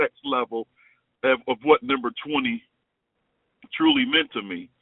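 The intonation is lively. The speaker has an American accent. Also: man. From Chicago. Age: 50s. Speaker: former college basketball player. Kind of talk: interview.

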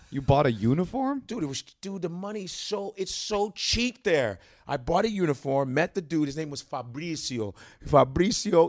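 A man with an American accent speaks at a high pitch. His voice makes very wide pitch swings. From Chicago, North Side. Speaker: stand-up comedian. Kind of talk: casual chat.

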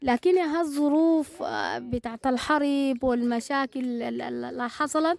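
A woman's high-pitched voice at a very slow pace, fairly even in intonation, with a dry, close sound and no echo. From Sudan, North Darfur. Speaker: former health worker turned trader. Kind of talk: interview testimony. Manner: halting.

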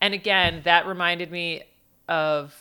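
The tone is bright and sharp, with fairly even intonation. The recording is very clean, and the background is silent. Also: woman. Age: 20s. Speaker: comedian. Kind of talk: casual chat.

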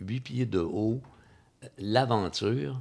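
A very slow delivery in a Quebec accent. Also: man. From Quebec, Magog. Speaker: film enthusiast. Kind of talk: casual chat. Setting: home.

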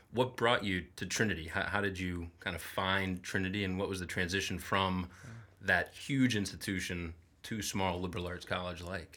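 At a moderate pace, a man speaks with a very deep, low pitch, a bright, sharp tone and fairly even intonation. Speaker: podcast host. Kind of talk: interview conversation. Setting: studio.

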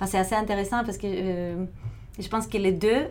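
With audible room echo, a woman in a Greek accent talks fairly slowly at a medium pitch with monotone, flat intonation. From Greece, Thessaloniki. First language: Greek (speaking French). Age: 30s. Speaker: film programmer. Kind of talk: interview. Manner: halting.

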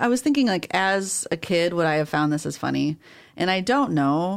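The recording is very clean, with a silent background. A woman speaks with very wide pitch swings. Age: 30s. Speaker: librarian podcast co-host. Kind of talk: casual chat. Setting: studio.

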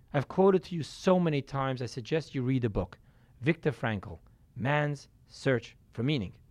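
With a plain, everyday voice, a man talks at a moderate pace and medium pitch with lively intonation. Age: 40s. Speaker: rabbi teaching a class. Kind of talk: lecture.

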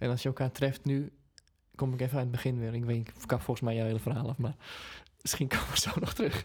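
This man's voice is somewhat breathy and medium in pitch, moving at a very fast pace with fairly even intonation. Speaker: singer and podcast co-host. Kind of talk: casual chat.

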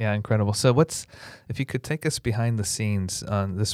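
A man with an American accent speaks in a normal speaking voice, fairly low-pitched with ordinary pitch variation, recorded very cleanly against a silent background with a dry, close sound and no echo. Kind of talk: interview.

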